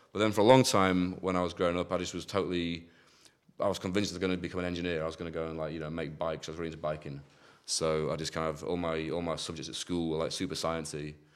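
Very fast speech from a man with a very deep, low pitch and fairly even intonation. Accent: Yorkshire. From East Yorkshire, northern England. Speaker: drum and bass producer and DJ. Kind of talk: casual chat.

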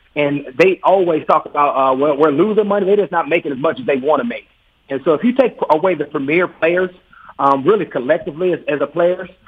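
A man with a plain, everyday voice speaks at a fairly quick pace with ordinary pitch variation. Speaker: former NFL linebacker, players' union officer. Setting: phone call.

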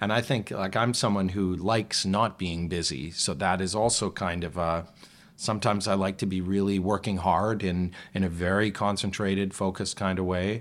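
On a very clean recording with a silent background, a man with a Canadian accent and a very deep, low pitch speaks at a moderate pace with fairly even intonation. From Western Canada, Calgary. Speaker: stage actor and singer. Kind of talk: casual chat.

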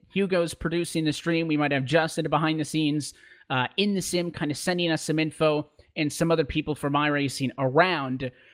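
Pitched fairly high, a man with a normal speaking voice moves along at a fairly quick pace. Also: fairly even intonation. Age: 20s. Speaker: esports racing commentator. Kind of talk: interview.

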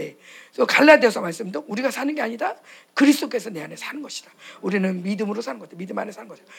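A woman talks at a very fast pace in a fairly high pitch, her voice somewhat breathy. Her pitch swings very widely and her loudness rises and falls in big swings. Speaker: pastor's wife preacher. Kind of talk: sermon and prayer. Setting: church conference with audience. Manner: animated, fervent.

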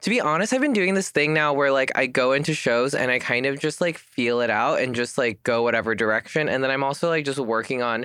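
On a very clean recording with a silent background, a man talks at a fairly quick pace with hardly any pauses, his medium-pitched voice animated, bright and sharp in tone, with ordinary pitch variation and very even loudness. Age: 30s. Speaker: comedian. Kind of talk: casual chat.

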